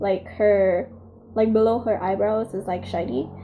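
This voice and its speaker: With pitch that rises and falls in an ordinary way, a woman speaks in a mid-range pitch. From Philippines. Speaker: beauty vlogger. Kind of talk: makeup tutorial; casual chat. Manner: casual, hesitant with fillers.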